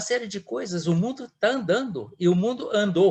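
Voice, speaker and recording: This man's voice is high-pitched. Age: 70s. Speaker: retired diplomat and professor. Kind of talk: guest talk in an academic discussion. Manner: halting, with many repeated words.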